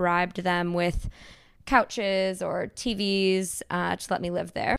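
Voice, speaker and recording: A woman speaks in a plain, everyday voice at medium pitch and a moderate pace, her intonation fairly even, on a very clean recording with a silent background. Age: 30s. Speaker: cartoonist. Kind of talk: interview.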